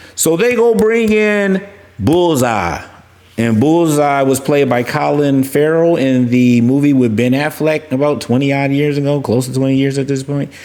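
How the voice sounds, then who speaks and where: A man's fairly high-pitched voice with lively intonation over noticeable background noise. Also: moderate pace. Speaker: crypto and collectibles YouTuber. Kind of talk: casual commentary. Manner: mumbling; rambling, halting.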